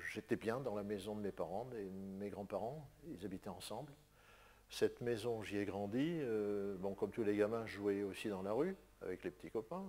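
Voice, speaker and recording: A man talks at a fairly slow pace. His voice is fairly low, with a dark, mellow tone. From northern France, Lille (Fives). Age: 80s+. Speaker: painter. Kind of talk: interview testimony.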